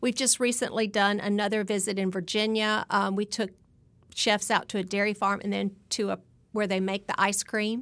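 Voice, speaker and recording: In a Southern US accent, a woman speaks at a moderate pace and medium pitch with monotone, flat intonation, in a very clean recording with a silent background. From Alabama. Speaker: dietitian. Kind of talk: interview.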